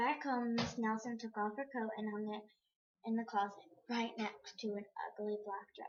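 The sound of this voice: Quiet background behind an unforced reading voice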